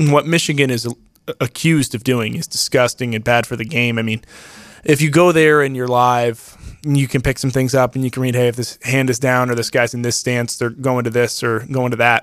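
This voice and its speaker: A man speaks in a normal speaking voice. His pitch is medium and his intonation fairly even. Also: fairly quick pace. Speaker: sports analyst, co-host. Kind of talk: casual sports talk, picks.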